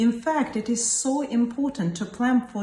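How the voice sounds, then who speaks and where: Noticeable background noise sits behind a woman whose fairly high voice shows ordinary pitch variation. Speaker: consultant geriatrician, hospital doctor. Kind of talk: casual talk to camera, opinion piece. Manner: earnest, reflective.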